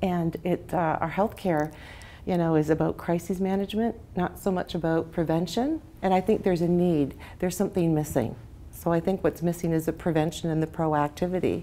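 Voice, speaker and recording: The pace is fairly quick and the intonation fairly even. Loudness stays very even throughout. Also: woman, fairly low pitch for a woman. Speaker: interview guest, health coach. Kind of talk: interview answer. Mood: warm, passionate. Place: home room. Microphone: lapel.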